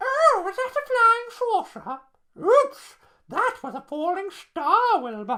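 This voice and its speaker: A squeaky, put-on character voice sits at an extremely high pitch with very wide pitch swings. It moves at a fairly slow pace. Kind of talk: bedtime story. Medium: read story. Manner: excitable, bubbly.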